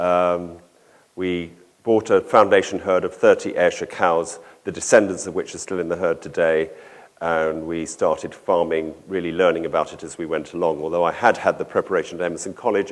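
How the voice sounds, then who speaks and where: A man with a southern English accent speaks at a moderate pace. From southern England, London area. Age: 60s. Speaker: organic dairy farmer and conference speaker. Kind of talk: conference talk. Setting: conference hall with audience. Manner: halting, with many fillers.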